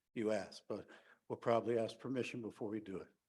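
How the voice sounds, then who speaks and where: Speaking at a very fast pace, a man talks in an American accent. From US East Coast, New Jersey. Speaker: activist. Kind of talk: conference speech.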